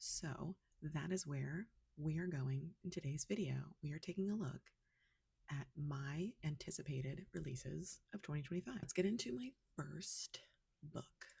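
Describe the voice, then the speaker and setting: Soft-spoken and somewhat breathy, a woman with a very deep, low pitch and a dark, mellow tone talks at a moderate pace with ordinary pitch variation. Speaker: book reviewer. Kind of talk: casual chat. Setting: at home.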